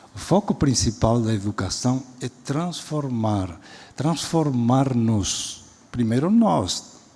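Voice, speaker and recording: A man speaks at a very slow pace with a medium pitch and lively intonation. Noticeable background noise is audible. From Spain. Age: 70s. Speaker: education professor and speaker. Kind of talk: lecture. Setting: auditorium stage with audience.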